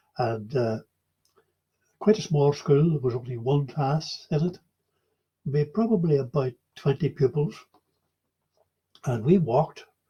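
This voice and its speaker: A man speaks at a fairly slow pace with long, frequent pauses, his fairly high voice somewhat breathy and dark and mellow in tone, with ordinary pitch variation. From Ireland, Donegal (Inishowen, near Derry). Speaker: oral history interviewee. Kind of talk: oral history interview. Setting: online video call. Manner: hesitant, many fillers.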